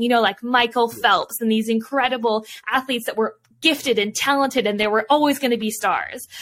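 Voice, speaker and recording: A woman with a Canadian accent and a normal speaking voice talks at a fairly quick pace in a fairly high voice with ordinary pitch variation. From Vancouver, Canada. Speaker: Olympic swimmer and author. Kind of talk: casual interview. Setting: video call.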